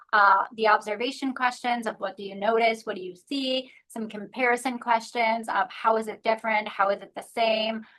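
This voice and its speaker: Speaking with hardly any pauses, a woman uses a bright, sharp tone and fairly high pitch in a monotone, flat intonation. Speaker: zoo educator. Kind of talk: webinar presentation. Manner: fast.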